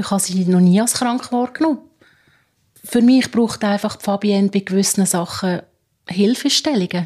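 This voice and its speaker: A woman with a Swiss accent speaks at a moderate pace in a medium pitch, her tone dark and mellow and somewhat breathy. Her pitch varies in an ordinary way, she leaves long, frequent pauses, and the recording is very clean with a silent background. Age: 50s. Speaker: care assistant. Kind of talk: interview.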